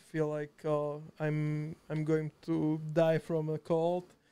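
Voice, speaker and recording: With a Slovak accent, a man speaks in a dark, mellow tone at a fairly high pitch, his intonation monotone and flat. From Slovakia, Žiar nad Hronom. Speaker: video editor. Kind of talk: casual chat. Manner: halting.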